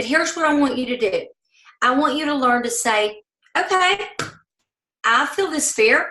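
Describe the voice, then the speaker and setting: In a raised, projected voice with a Southern US accent, a woman talks at a high pitch and moderate pace, her tone bright and sharp, her intonation lively, with long, frequent pauses. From US South. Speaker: network marketing leader. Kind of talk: motivational training talk. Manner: animated.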